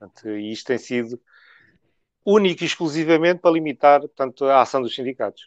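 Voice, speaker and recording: An unremarkable speaking voice from a man at a fairly high pitch, fairly quick and lively, with big swings in loudness, dry and close with no echo over a quiet background. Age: 50s. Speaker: trade unionist. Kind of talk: interview.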